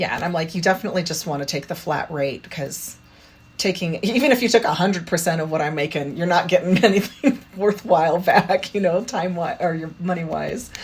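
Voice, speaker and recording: Somewhat breathy and fairly low-pitched, a woman talks at a fairly quick pace with ordinary pitch variation. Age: 50s. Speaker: parkour practitioner and children's book author. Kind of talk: interview answer. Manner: casual, chatty.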